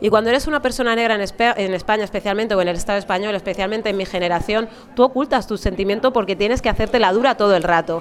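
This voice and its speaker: With a Madrid accent, the speaker talks very fast in a fairly even intonation. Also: woman. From Alcorcón, Madrid, Spain. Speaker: novelist and journalist. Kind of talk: interview at a book fair. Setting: live radio booth at a book fair.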